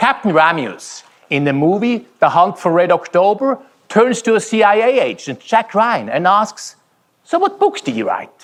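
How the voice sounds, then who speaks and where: A high-pitched man with a Swiss German accent at a moderate pace, his intonation lively. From Switzerland. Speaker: keynote speaker. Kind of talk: keynote speech. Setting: conference stage with audience.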